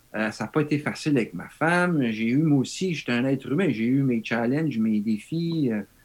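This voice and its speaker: A man of medium pitch speaks at a fairly slow pace. He has an ordinary speaking voice with ordinary pitch variation. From Quebec. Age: 50s. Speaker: model and cyclist. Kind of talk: casual chat.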